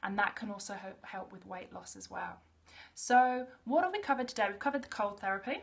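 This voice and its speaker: A woman with an Australian accent at a very fast pace, medium-pitched and somewhat breathy, with ordinary pitch variation and big swings in loudness. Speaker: naturopath. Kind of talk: live stream talk. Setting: live video stream.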